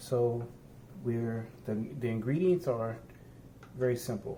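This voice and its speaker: A man with a medium pitch speaks at a very slow pace, his pitch varying in an ordinary way. There is audible room echo. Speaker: home cooking vlogger. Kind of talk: cooking tutorial. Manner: soft-spoken; halting.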